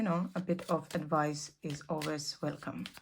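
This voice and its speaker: A woman speaks at a very slow pace, soft-spoken. Vocal fry runs through her voice. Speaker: tarot reader. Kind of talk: tarot reading.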